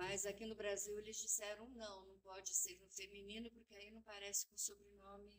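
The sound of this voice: A woman talks at a moderate pace with a medium pitch. Her loudness swings widely from moment to moment.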